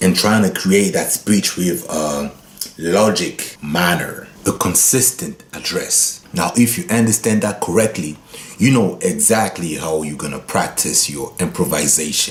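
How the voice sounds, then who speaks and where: A man with a Congolese accent, fairly low in pitch, fairly slow and lively in intonation, with noticeable background noise. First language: Lingala. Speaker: guitar teacher. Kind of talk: tutorial.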